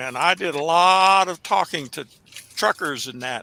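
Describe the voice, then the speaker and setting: A man's voice, bright and sharp in tone. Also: dry, close sound with no echo. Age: 70s. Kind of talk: casual chat. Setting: garage.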